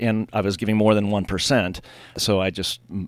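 Very deep, low male speech over a silent background, the recording very clean. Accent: Californian. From Southern California, Pasadena area. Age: 50s. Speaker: winery owner. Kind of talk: interview. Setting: studio.

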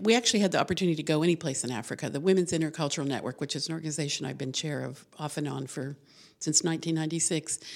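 A woman with an American accent speaks very fast in a very deep, low voice with ordinary pitch variation. The recording is very clean with a silent background. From New Mexico, US. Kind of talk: casual interview. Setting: studio.

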